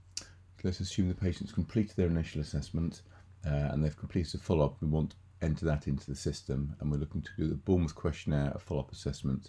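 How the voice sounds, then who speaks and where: The speaker talks at a very fast pace with vocal fry. The tone is dark and mellow. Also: man, very deep, low pitch for a man. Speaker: software tutorial presenter. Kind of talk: screen-recorded software walkthrough. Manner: monotone.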